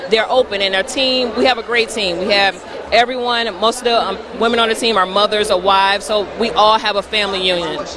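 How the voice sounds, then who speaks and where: A woman with an American accent speaks at a fairly quick pace amid noticeable background noise. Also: fairly high pitch for a woman, fairly even intonation. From US South (Atlanta, Georgia, by way of Detroit). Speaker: hair care brand representative. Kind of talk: interview at trade show.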